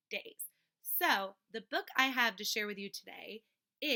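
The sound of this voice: The reading voice is unforced, its pitch varies in an ordinary way, and the background is quiet.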